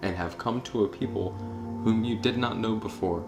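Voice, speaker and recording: At a moderate pace, a man speaks in a fairly low voice while music plays in the background. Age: young. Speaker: audio Bible narrator. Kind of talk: scripture reading. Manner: calm, meditative.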